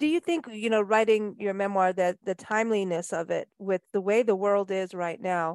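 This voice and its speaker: At a moderate pace with hardly any pauses and ordinary pitch variation, the voice comes through dry and close with no echo against a quiet background. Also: woman, medium pitch for a woman. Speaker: podcast host. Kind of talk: interview. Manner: animated.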